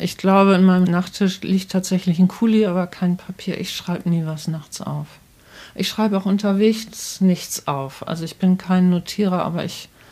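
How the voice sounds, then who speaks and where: A woman speaks at a medium pitch in a dark, mellow tone. Her voice is somewhat breathy, with fairly even intonation. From northern Germany, Bremen. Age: 60s. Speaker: children's book author. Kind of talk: interview. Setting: author's study at home.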